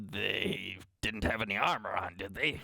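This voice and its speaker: Putting on a character voice, a man speaks at a moderate pace in a raspy, fairly low tone. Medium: actual play. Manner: rambling, hesitant.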